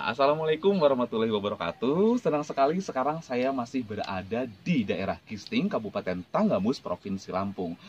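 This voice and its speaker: This man's medium-pitched voice moves in very wide pitch swings. He talks at a fairly quick pace with hardly any pauses. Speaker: YouTube interviewer. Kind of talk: interview questions.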